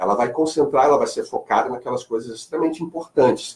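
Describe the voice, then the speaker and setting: A man's fairly high voice, lively in intonation and very fast in pace. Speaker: marketing speaker and lecturer. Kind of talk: radio interview. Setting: radio studio.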